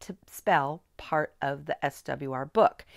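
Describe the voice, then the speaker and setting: Recorded very cleanly against a silent background, a woman speaks with vocal fry in a dry, close sound with no echo. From US Midwest. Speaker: spelling teacher trainer. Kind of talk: tutorial.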